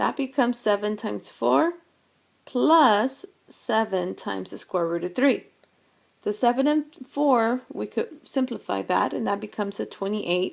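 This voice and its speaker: A woman's voice with vocal fry and very wide pitch swings, on a very clean recording with a silent background. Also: fairly high pitch for a woman, moderate pace. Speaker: math teacher. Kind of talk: lecture.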